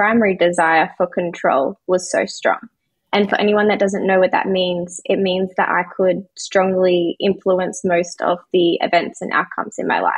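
A woman's flat monotone at a moderate pace, over a quiet background. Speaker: podcast guest, coach. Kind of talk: interview answer. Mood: open, reflective. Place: home room. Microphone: video call.

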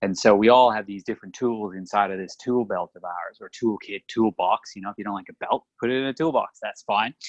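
A man with an Australian accent, fairly low pitch and ordinary pitch variation, at a fairly quick pace with hardly any pauses, big swings in loudness, and a dry, close sound with no echo. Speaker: podcast co-host, chiropractor. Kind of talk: casual chat.

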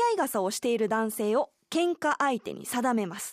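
Against a quiet background, a woman speaks at a moderate pace with very wide pitch swings, in a dry sound with no echo. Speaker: radio announcer and amateur rakugo performer. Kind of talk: radio segment presentation. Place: studio.

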